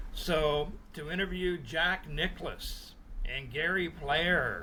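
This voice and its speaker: A man with a Canadian accent speaks at a very slow pace amid audible room echo. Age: 60s. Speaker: sports journalist. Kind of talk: interview. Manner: casual, with frequent fillers.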